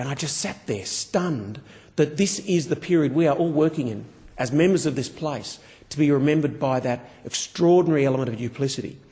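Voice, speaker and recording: Here a man speaks with an Australian accent at a fairly quick pace. His pitch is fairly high and varies in an ordinary way. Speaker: politician. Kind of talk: parliamentary speech. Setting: parliament chamber. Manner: formal.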